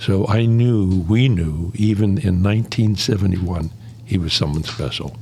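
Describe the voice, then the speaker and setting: An American accent at a moderate pace with ordinary pitch variation, audible room echo and noticeable background noise. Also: man, fairly low pitch for a man. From Pittsburgh area, US. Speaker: former college residence head. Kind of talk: podcast interview.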